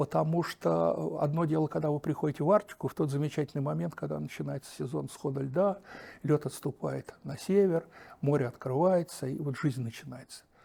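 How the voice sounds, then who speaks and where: On a very clean recording with a silent background, a man with a fairly high pitch talks at a fairly quick pace, his somewhat breathy voice dark and mellow in tone with lively intonation. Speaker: oceanologist. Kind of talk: interview. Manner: animated.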